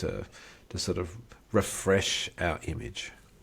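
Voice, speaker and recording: A somewhat breathy male voice. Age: 50s. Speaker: podcast co-host. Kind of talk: casual chat.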